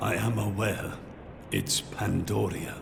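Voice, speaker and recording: A man's put-on character voice, fairly low-pitched and fairly slow, over loud background noise. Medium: machinima. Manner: grave, measured.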